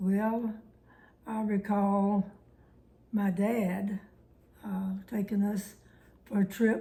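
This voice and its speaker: A woman speaks very slowly at a medium pitch, her dark, mellow tone somewhat breathy and flat in a monotone, broken by long, frequent pauses. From Alabama. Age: 90s. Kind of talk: oral history interview answer.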